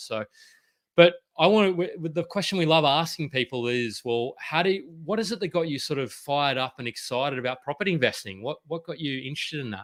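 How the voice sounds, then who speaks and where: A man with an Australian accent talks at a very fast pace in a fairly high voice with lively intonation. The sound is dry and close, without echo. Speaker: property podcast host. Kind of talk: interview. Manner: halting.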